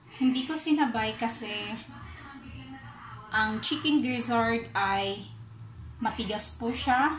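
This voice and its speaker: Over music in the background and audible room echo, a woman speaks at a very slow pace in a fairly high voice with ordinary pitch variation. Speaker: cooking vlogger. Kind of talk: cooking tutorial voice-over. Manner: stutters.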